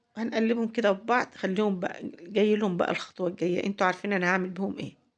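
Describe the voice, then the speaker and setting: A woman with an Egyptian accent, fairly quick pace and fairly even intonation. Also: medium pitch for a woman. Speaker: cooking channel host. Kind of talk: cooking tutorial. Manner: halting, with fillers and repeats; warm, chatty.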